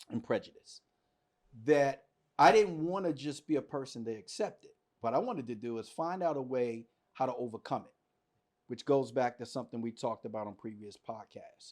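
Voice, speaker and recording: The recording is very clean, with a silent background. A man with medium pitch speaks in an ordinary speaking voice. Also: lively intonation, fairly quick pace, big swings in loudness. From US, Washington DC. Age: 50s. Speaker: podcast host. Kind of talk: casual podcast discussion.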